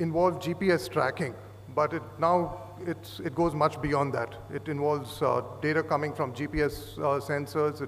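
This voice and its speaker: The pace is moderate. A man speaks over light background noise. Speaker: conference presenter. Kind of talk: lecture. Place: hall. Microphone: podium.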